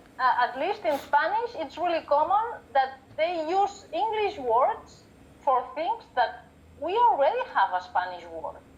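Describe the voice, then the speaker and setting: With a Catalan accent, a woman speaks at a fairly slow pace in an extremely high pitch that swings very widely. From Catalonia, Spain. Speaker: book and paper conservator. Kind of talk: casual interview chat.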